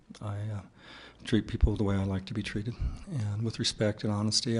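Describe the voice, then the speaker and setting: The man talks at a very fast pace. His pitch sits fairly low and his intonation stays fairly even. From Mexican-American farmworker family, US. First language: Spanish. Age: 60s. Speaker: college president candidate. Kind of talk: public forum interview. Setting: community forum with audience. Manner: halting, many fillers.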